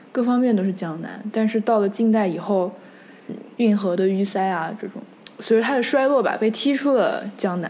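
Against noticeable background noise, a woman talks at a medium pitch and a moderate pace with ordinary pitch variation. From Nanjing, Jiangsu, China. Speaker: history podcast host. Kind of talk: casual discussion.

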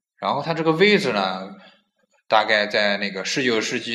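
A man in a Nanjing accent, with ordinary pitch variation and audible room echo. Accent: Nanjing dialect, imperfect. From Nanjing, China. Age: 20s. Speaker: podcast host. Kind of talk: casual chat.

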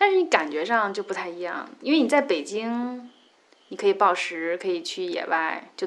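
A woman speaks at a moderate pace with a medium pitch. Her pitch swings very widely. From Beijing. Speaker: rock climber. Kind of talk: casual interview.

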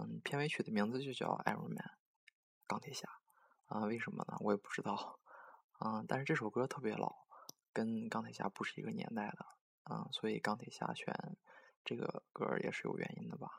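A woman talks at a moderate pace. Her speech has long, frequent pauses. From Dalian, northeast China. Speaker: amateur music radio host. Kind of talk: casual DJ talk between songs. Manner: halting, many filler sounds.

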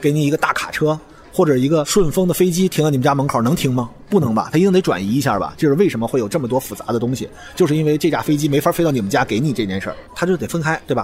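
Over noticeable background noise, a man talks at a very fast pace in a fairly high voice with lively intonation. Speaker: podcast host, science communicator. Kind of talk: solo podcast monologue. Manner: casual, conversational.

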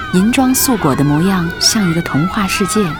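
Amid noticeable background noise, a woman at a medium pitch makes very wide pitch swings. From Harbin, northeast China. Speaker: radio host. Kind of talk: scripted narration. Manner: gentle, warm.

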